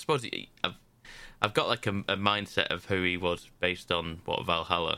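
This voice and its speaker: A man with a British accent and a bright, sharp tone at a moderate pace, on a very clean recording with a silent background. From Britain. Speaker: video game podcast panelist. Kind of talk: casual chat.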